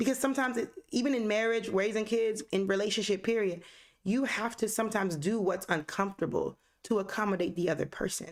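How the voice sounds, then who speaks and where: Spoken at a very fast clip, the voice has an animated tone, ordinary pitch movement and very even loudness throughout. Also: woman, fairly high pitch for a woman. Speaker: podcast host. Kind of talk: casual chat.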